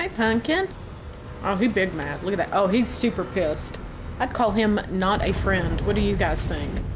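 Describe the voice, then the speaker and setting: With a Southern US accent, a woman speaks at a moderate pace amid audible room echo and noticeable background noise. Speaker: gaming youtuber. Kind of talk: gameplay commentary. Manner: animated.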